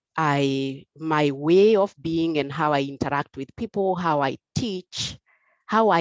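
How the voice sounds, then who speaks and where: Very slow speech with ordinary pitch variation, in a dry, close sound with no echo. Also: woman. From Kenya. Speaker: conference speaker. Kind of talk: conference talk. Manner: hesitant, many fillers.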